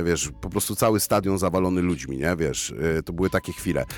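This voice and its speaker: A man's voice at a fairly quick pace, with vocal fry. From Poland, Bielsko-Biała. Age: 30s. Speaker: rapper and concert emcee. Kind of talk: casual chat. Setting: radio studio.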